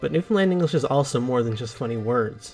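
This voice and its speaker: With music in the background, a man talks at medium pitch. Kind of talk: explainer narration.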